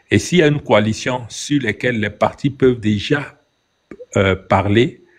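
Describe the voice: At a moderate pace, a man speaks at a medium pitch with ordinary pitch variation.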